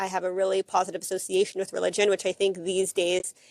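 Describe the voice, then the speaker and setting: The Texas accent comes through in a very clean recording with a silent background and a dry, close sound with no echo. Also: woman. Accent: American, Texas. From Texas, Dallas. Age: 20s. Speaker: former soldier, immigrant to Israel. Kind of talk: casual interview chat.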